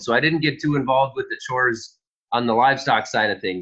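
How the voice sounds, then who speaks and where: Here a man talks with a Minnesotan accent. His pitch is fairly high, and his pace is moderate. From Minnesota, west central. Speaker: farmer. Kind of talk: interview.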